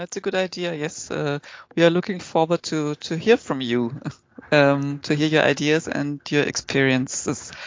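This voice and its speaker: A woman with a German accent speaks at a moderate pace in a very deep, low voice. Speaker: podcast host. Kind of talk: interview. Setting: video call.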